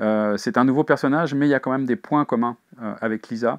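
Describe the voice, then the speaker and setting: A man talks very fast against a quiet background. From Paris region, France; France. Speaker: crime novelist. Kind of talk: interview. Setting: bookshop signing. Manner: halting, frequent fillers. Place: shop.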